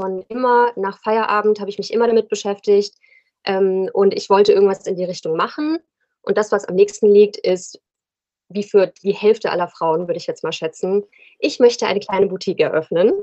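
This is an ordinary speaking voice from a woman at a medium pitch. She talks at a fairly quick pace with ordinary pitch variation. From Rhein-Main area, Germany. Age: 30s. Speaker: fashion entrepreneur. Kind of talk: casual interview.

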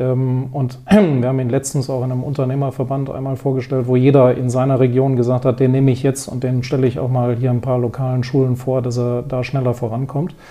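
The speech is fairly quick, with hardly any pauses and flat, monotone intonation. Noticeable noise sits in the background. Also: man, medium pitch for a man. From Wiesbaden, Hesse, Germany. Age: 50s. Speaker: business owner and education philanthropist. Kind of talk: interview.

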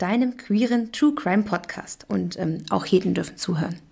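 Somewhat breathy and at a medium pitch, a woman speaks at a moderate pace with lively intonation. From Germany. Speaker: podcast co-host. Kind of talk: scripted intro; casual chat.

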